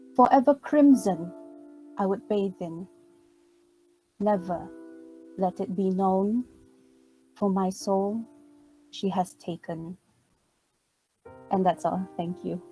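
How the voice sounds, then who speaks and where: With music in the background, a woman speaks very slowly at a medium pitch, with ordinary pitch variation. Long pauses come often. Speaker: slam poet / competition participant. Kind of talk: poetry reading.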